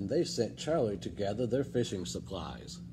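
A man's warm, gentle tone over noticeable background noise. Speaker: librarian reading aloud. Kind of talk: children's storybook read-aloud, bedtime-story style with character voices. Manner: animated, expressive, shifting voices for each character; warm, friendly, gentle pacing. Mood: warm, expressive storytelling. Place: hall. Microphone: phone near.

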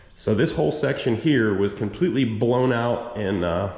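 Fairly slow speech from a man, audible room echo around it. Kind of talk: casual vlog chat. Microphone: phone near.

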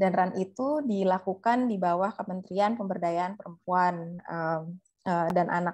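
Nothing much is heard behind the voice, as the background is quiet. A woman talks with fairly even intonation. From Indonesia. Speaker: researcher; guest. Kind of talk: webinar talk. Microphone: video call.

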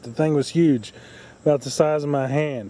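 A man speaks with fairly even intonation. The sound is dry with no echo. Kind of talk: casual vlog chat. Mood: chatty, mildly disappointed. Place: garden. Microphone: phone near.

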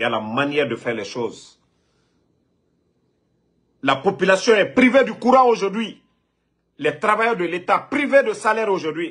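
Against a quiet background, a man speaks at a moderate pace with very wide pitch swings and long, frequent pauses. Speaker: online political commentator. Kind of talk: commentary. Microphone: phone near.

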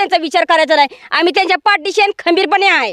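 The sound is dry and close, with no echo. A woman speaks at an extremely high pitch with ordinary pitch variation. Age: 50s. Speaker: villager. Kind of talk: interview.

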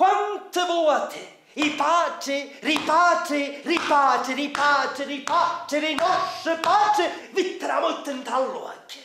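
A man's raised, projected voice at an extremely high pitch, in a Sicilian accent, at a very slow pace with hardly any pauses, amid audible room echo and light background noise. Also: ordinary pitch variation, very even loudness. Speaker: traditional Sicilian storyteller. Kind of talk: theatrical storytelling narration. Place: stage.

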